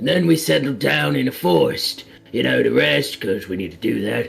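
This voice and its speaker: Faint music plays in the background as a man talks slowly in a raspy, put-on character voice. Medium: actual play. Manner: casual, cocky.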